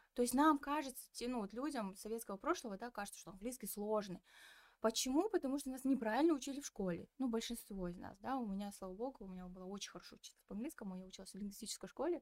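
A woman speaks at a very fast pace in a fairly high voice, her intonation lively and her loudness swinging widely. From Kazakhstan, Petropavlovsk. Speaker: communications specialist and podcast producer. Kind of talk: casual interview chat.

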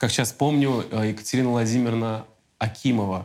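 A man talks in a normal speaking voice. His pitch is medium and his pace moderate. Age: 30s. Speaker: podcast host. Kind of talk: casual interview chat.

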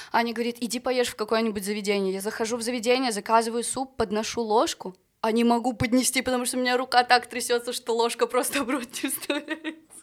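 A woman talks at a very fast pace in a high voice, her intonation fairly even. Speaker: singer. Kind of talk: casual chat.

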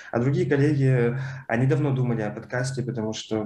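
The man's voice has a dark, mellow tone and is somewhat breathy. His intonation stays fairly even. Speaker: librarian and podcast host. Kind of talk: casual chat.

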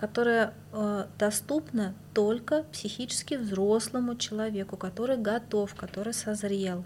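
Somewhat breathy, the voice moves at a very slow pace. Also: woman. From Moscow, Russia. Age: 40s. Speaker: bathhouse practitioner and healer. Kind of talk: casual interview.

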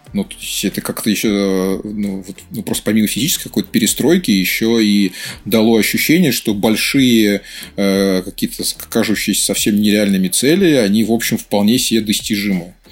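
A man has an ordinary speaking voice with a fairly low pitch. He keeps a moderate pace with ordinary pitch variation. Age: 40s. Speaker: marketing director. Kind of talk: casual chat.

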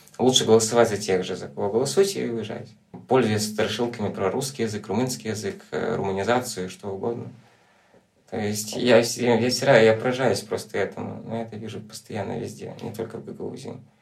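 Room echo is audible as a man speaks at a medium pitch and a fairly quick pace, his intonation fairly even and his loudness swinging widely. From Transnistria, Moldova. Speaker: documentary photographer. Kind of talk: casual chat.

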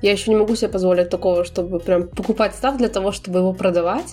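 A woman talks very fast at a medium pitch with fairly even intonation. Background noise is noticeable throughout. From Belarus. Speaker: podcast co-host. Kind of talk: casual chat.

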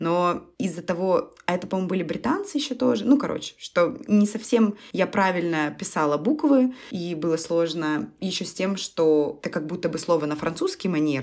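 A woman's fairly low voice at a moderate pace, lively in intonation with hardly any pauses, an ordinary speaking voice. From Russia. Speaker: podcast co-host. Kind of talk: casual chat.

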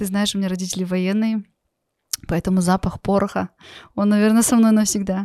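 In a very clean recording with a silent background, a woman with a dark, mellow tone talks at medium pitch and a fairly quick pace, her intonation monotone and flat. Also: dry, close sound with no echo. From Kazakhstan. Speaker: entrepreneur. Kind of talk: interview. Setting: studio.

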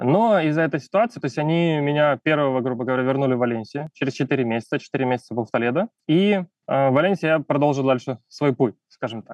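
Very fast delivery from a fairly high-pitched man, with normal pitch variation. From Ukraine. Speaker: photographer and refugee immigrant. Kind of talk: casual interview.

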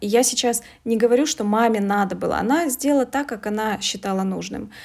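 Using an unremarkable speaking voice, a woman talks at a moderate pace with a fairly high pitch and ordinary pitch variation. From Russia, Veliky Novgorod. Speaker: coach and English teacher. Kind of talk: interview.

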